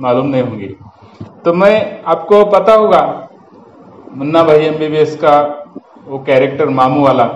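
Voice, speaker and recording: A man with a Marathi accent speaks at a fairly high pitch, with ordinary pitch variation. Noticeable background noise and audible room echo are present. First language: Marathi (speaking Hindi). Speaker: YouTuber. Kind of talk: storytelling monologue. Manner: halting, with fillers and repetitions.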